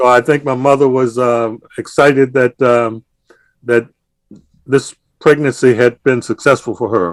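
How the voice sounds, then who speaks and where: Speaking fairly slowly with long, frequent pauses, a man keeps a medium pitch and fairly even intonation in a dry, close sound with no echo. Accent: Virginia. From US South, Chesterfield County, Virginia. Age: 70s. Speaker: retired NASA engineer. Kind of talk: interview, personal life story.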